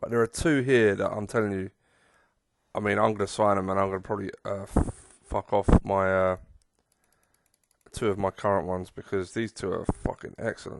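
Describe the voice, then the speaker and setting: In an English accent, a man with a fairly low voice speaks at a fairly quick pace broken by long, frequent pauses, in a dry, close sound with no echo and a quiet background. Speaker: gaming streamer. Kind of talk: gameplay commentary. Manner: drowsy; animated.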